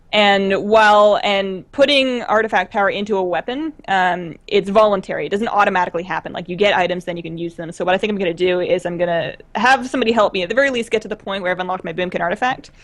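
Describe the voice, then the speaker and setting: Noticeable background noise sits under a woman's voice at medium pitch. She talks at a very fast pace with ordinary pitch variation. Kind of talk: casual chat.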